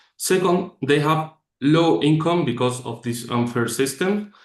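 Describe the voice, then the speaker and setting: A fairly slow delivery with a Spanish accent, ordinary pitch variation and a quiet background. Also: man. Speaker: startup executive. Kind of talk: presentation. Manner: reading from script.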